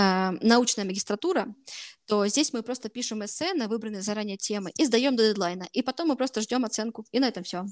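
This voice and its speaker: A woman uses an ordinary speaking voice, fairly high and fairly quick, with ordinary pitch variation. The sound is dry and close, with no echo. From Russia, Voronezh. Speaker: master's student. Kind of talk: interview. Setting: video call.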